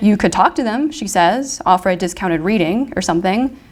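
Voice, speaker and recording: On a very clean recording with a silent background, a woman at medium pitch speaks at a fairly quick pace with lively intonation. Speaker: fiction writer. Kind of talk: reading aloud. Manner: soft-spoken.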